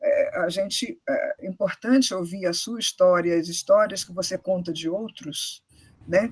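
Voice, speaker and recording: The voice moves at a fairly slow pace, with ordinary pitch variation and big swings in loudness. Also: woman, medium pitch for a woman. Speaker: university professor. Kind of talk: moderated Q&A. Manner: hesitant, many fillers.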